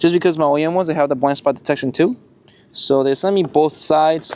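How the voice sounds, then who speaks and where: With a non-native accent, a man with a dark, mellow tone speaks very fast with ordinary pitch variation. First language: not English. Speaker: car enthusiast YouTuber. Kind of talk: casual vlog tutorial. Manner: casual, halting with fillers.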